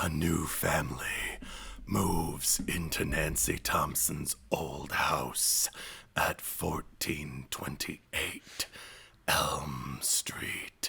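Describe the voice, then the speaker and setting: A put-on character voice comes out raspy and very deep, with a very low pitch. It moves at a very slow pace in a dramatic tone. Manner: dramatic, ominous.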